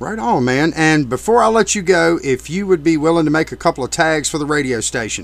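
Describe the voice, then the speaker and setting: The speaker talks with lively intonation at a fairly quick pace, in a normal speaking voice. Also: man, fairly high pitch for a man. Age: 40s. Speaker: radio DJ. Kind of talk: interview. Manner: casual.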